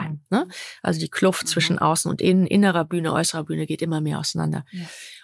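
The pace is very fast. The sound is dry and close, with no echo. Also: woman. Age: 50s. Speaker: coach. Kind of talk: interview. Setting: at a host's home.

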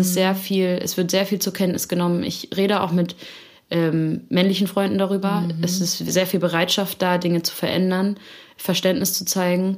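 Over noticeable background noise, a woman talks at a moderate pace and medium pitch in a monotone, flat intonation. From Hamburg area, northern Germany (Elmshorn). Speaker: singer-songwriter. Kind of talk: interview. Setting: studio.

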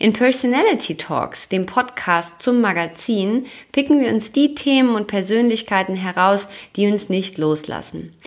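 An unremarkable speaking voice moves at a fairly slow pace. Its intonation is lively. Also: woman, medium pitch for a woman. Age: 30s. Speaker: podcast host, yoga and meditation teacher. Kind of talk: scripted narration.

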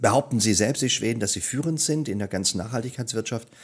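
A normal speaking voice with lively intonation, on a very clean recording with a silent background. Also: man. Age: 50s. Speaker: storytelling coach. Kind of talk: interview.

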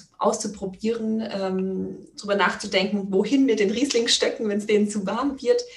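Talking at a moderate pace, a woman is heard against noticeable background noise. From Palatinate, Germany. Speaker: wine podcaster. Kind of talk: interview.

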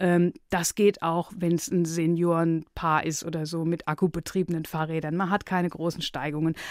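On a very clean recording with a silent background, a woman speaks at a fairly low pitch and a moderate pace. Her intonation is monotone and flat, with hardly any pauses. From Palatinate, Germany (Neustadt an der Weinstraße). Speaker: radio editor and author. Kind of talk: interview.

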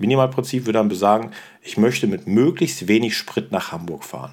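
A man's voice at a medium pitch. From Rhineland (Cologne area), Germany. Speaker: teacher and podcast host. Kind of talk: educational podcast chat.

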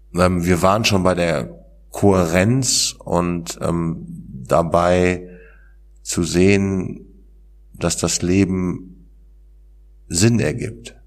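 A man talks with a very deep, low pitch. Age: 40s. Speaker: author and peer recovery worker. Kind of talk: interview about personal experience. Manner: hesitant, many fillers.

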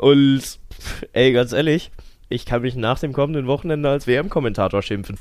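A man of medium pitch talks at a moderate pace, pausing often and at length, with ordinary pitch variation. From Cologne, Germany. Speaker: podcast host, sports commentator. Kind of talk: casual chat. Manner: animated.

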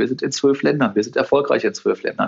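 A man's fairly quick speech with vocal fry and ordinary pitch variation. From Cologne, western Germany. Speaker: retail company CEO. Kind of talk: interview. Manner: halting, frequent repetitions.

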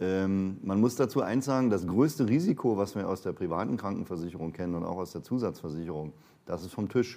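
At a fairly quick pace, a man with a fairly low pitch and a dark, mellow tone speaks with lively intonation, recorded very cleanly against a silent background. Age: 50s. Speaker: pension and insurance consultant. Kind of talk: interview.

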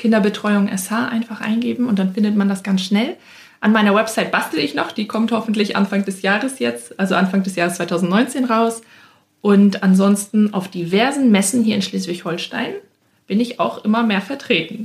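A woman speaks at medium pitch, somewhat breathy. Her pitch varies an ordinary amount. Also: moderate pace. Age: 20s. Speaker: speech therapist and childcare entrepreneur. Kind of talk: interview. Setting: studio.

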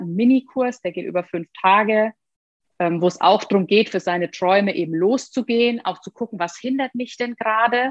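Her pitch varying in an ordinary way, a woman speaks in an ordinary speaking voice at a moderate pace. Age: 30s. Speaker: former tax advisor turned digital nomad. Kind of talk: interview.

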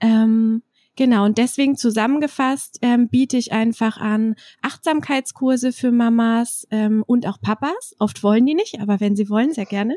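The recording is very clean with a silent background and a dry, close sound with no echo. A woman speaks at a moderate pace, her fairly high voice held to fairly even intonation. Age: 30s. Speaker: trauma counsellor and doula. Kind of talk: interview. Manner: hesitant with frequent fillers.

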